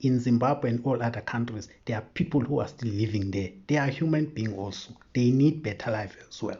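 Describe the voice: His pace is fairly quick and his tone slightly mellow. This man has a medium pitch with ordinary variation.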